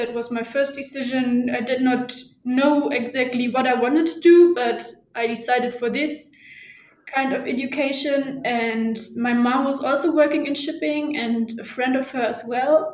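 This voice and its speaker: A woman's high voice in a German accent, with fairly even intonation, a moderate pace and audible room echo. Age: 20s. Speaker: shipping office employee. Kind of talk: interview. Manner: hesitant with fillers.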